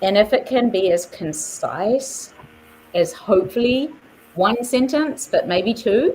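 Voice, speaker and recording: With a New Zealand accent, a woman speaks very slowly in a high voice with lively intonation and very even loudness, over noticeable background noise. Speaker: artist and nonprofit leader. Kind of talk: interview. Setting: live stream.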